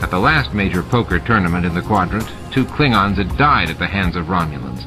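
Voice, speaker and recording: With music in the background, a man speaks at a fairly quick pace, his fairly low pitch making very wide pitch swings. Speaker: audiobook narrator. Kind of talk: audiobook narration.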